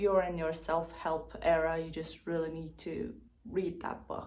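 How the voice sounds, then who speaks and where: With a non-native accent, a woman speaks amid audible room echo. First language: not English. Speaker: book vlogger. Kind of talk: casual vlog talk. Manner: casual, filler-heavy.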